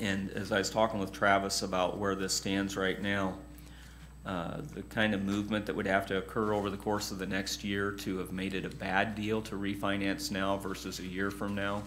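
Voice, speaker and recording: A man's fairly low-pitched voice at a moderate pace, monotone and flat, with light background noise. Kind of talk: meeting briefing. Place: meeting room.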